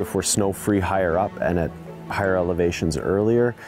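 Clear music plays behind a fairly quick voice with ordinary pitch variation, the sound dry with no echo. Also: man. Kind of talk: interview answer. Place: open country.

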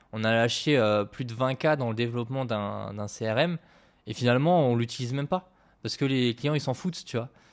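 Male speaker with a normal speaking voice, medium pitch and ordinary pitch variation. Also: moderate pace. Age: 20s. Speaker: agency founder. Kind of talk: casual chat.

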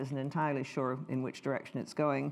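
A woman's very deep, low voice with a Canadian accent. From Canada. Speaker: history professor; speaker. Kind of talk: lecture. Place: hall.

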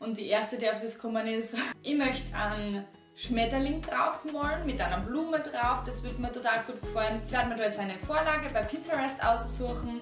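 Music plays clearly behind a woman with an Austrian accent who speaks at a fairly high pitch with ordinary variation. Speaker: acrylic painting teacher. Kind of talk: painting tutorial talk to camera. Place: home room.

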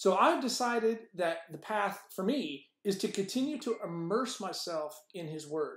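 With lively intonation and a passionate tone, a man speaks at a fairly slow pace in a high pitch, with audible room echo over a quiet background. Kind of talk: devotional teaching. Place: office. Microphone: webcam.

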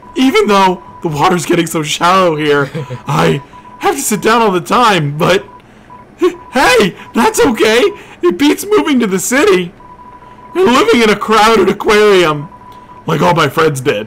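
Over music in the background, a man in a put-on character voice speaks at a high pitch, leaving long, frequent pauses. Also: moderate pace. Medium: actual play. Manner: chatty, repetitive tag questions.

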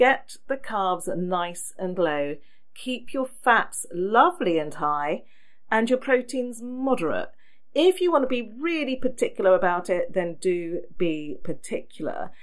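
A woman with an English accent speaks at a fairly slow pace, her fairly high voice swinging very widely in pitch. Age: 50s. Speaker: podcast host. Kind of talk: solo podcast talk. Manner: chatty.

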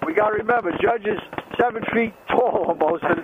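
Loud noise fills the background of this dry recording, which carries no echo. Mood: relaxed, joking. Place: motorbike. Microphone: helmet.

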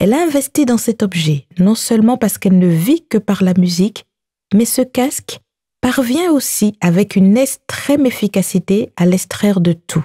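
Her voice sits at a medium pitch for a woman and has a dark, mellow tone. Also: lively intonation, dry, close sound with no echo. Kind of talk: audiobook narration. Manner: measured, narrative, slow-paced.

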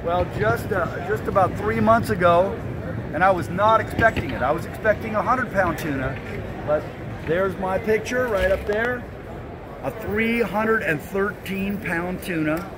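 Over clear background noise, a man with a high pitch speaks at a fairly slow pace and ordinary pitch variation.

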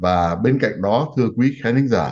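This man talks at a fairly slow pace, with vocal fry in his voice. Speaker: TV talk show host, physician. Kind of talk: political discussion. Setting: studio. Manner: formal. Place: home room. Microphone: webcam.

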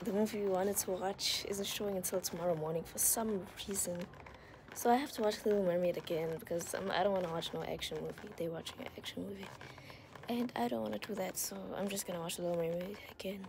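Over noticeable background noise, a woman talks at a very fast pace. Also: ordinary pitch variation. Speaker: vlogger. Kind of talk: casual vlog chat. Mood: amused, a bit nervous. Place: hall. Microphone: phone near.

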